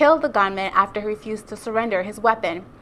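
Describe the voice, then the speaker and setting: Talking at a very fast pace, a woman uses lively intonation at a fairly high pitch. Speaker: journalist, reporter and anchor. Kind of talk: TV news anchor read.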